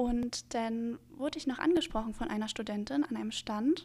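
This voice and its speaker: This woman has a high pitch and fairly even intonation. She talks at a moderate pace. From Mecklenburg-Western Pomerania, Germany (Neubrandenburg). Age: 20s. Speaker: medical student. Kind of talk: casual interview.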